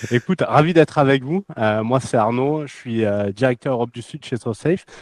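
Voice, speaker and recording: A man with a slight southern French accent speaks at a medium pitch and moderate pace, with ordinary pitch variation and big swings in loudness, in a dry, close sound with no echo. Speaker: cybersecurity company executive. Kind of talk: interview.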